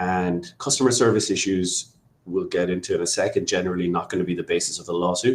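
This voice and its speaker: Talking extremely quickly, a man speaks in an Irish accent. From Ireland. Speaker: immigration lawyer. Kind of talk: webinar presentation. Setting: online webinar.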